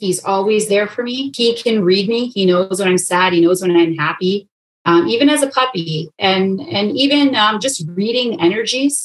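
With a Canadian accent, a woman speaks in an unremarkable speaking voice at a moderate pace. Her intonation is lively, and she hardly pauses. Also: medium pitch for a woman. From Canada, Toronto. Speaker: pet toy company co-founder. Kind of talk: casual interview.

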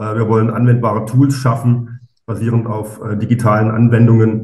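At a moderate pace, a man talks in a dark, mellow tone that is somewhat breathy. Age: 40s. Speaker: architect and startup co-founder. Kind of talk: podcast interview. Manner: hesitant, many fillers.

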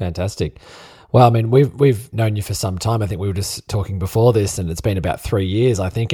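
Very fast and somewhat breathy, a man with an Australian accent speaks in a dark, mellow tone on a very clean recording with a silent background. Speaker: podcast host. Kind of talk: casual interview chat.

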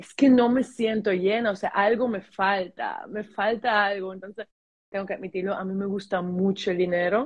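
Moving at a moderate speed, a normal speaking voice keeps its intonation fairly even. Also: woman. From Germany, teen years in Dominican Republic. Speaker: sales and mindset coach. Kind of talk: casual interview chat.

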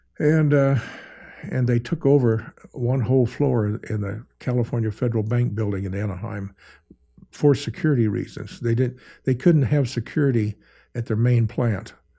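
A man with an American accent, medium pitch, a somewhat breathy, dark, mellow tone, in a very clean recording with a silent background. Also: ordinary pitch variation, moderate pace. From northern Oklahoma. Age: 80s+. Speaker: cowboy artist. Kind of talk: casual interview. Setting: studio.

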